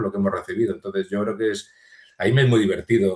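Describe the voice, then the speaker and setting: A man talks at a very fast pace, somewhat breathy, with ordinary pitch variation. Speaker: physicist and museum volunteer guide. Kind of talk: interview conversation. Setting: podcast recording.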